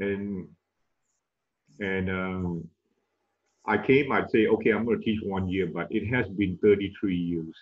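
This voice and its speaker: A fairly low-pitched man with a Malaysian accent, fairly even intonation, and a fairly slow pace full of long, frequent pauses. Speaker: tennis coach and management professor. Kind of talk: webinar interview. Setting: video call.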